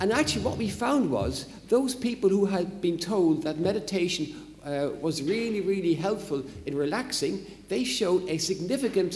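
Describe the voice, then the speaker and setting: A man speaks in an Irish accent with a high pitch and lively intonation. The recording has audible room echo and noticeable background noise. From Ireland. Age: old. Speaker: psychology professor. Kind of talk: lecture. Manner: hesitant, with fillers.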